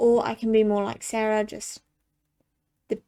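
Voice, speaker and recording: Her voice is fairly high, with a dark, mellow tone. The woman talks fairly slowly in a flat, monotone way. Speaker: mental health vlogger. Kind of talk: personal video monologue.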